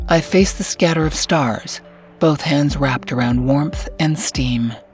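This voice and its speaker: Over music in the background, a woman talks in a very deep, low pitch. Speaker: voice actor. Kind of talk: audiobook fiction narration.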